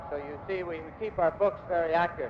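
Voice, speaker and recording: Light background noise is present. The speaking moves at a moderate pace. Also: man. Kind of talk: ceremonial speech. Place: hall. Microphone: podium.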